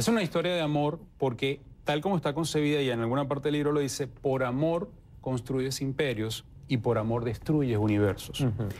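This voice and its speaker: A man talks at a fairly quick pace with very even loudness. His pitch varies in an ordinary way. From Venezuela, Puerto Ordaz; Venezuela. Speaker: novelist; interviewee. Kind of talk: interview. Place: studio. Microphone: lapel.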